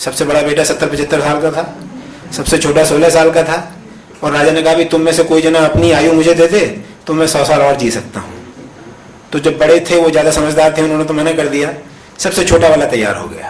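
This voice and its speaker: Monotone and flat, a man with a fairly high pitch talks at a moderate pace. Audible room echo and noticeable background noise fill the recording. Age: 60s. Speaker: professor. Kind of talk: conference talk. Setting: conference hall with audience.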